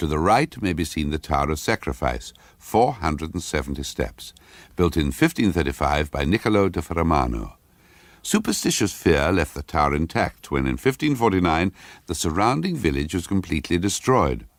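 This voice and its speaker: Vocal fry runs through lively intonation at a moderate pace in a very clean recording with a silent background. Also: man, very deep, low pitch for a man. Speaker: actor. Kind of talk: short story reading. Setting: studio.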